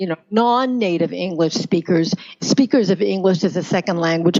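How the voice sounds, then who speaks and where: With a Canadian accent, a woman talks in an unremarkable speaking voice at medium pitch, with ordinary pitch variation. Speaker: pronunciation coach. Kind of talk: interview answer.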